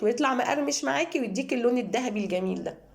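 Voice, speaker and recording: Amid noticeable background noise, a woman talks at a fairly quick pace with a high pitch and lively intonation. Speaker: cooking channel host. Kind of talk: cooking tutorial.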